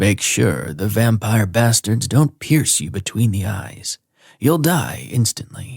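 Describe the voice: Using a put-on character voice, a woman speaks fairly slowly in a gravelly, very deep, low register.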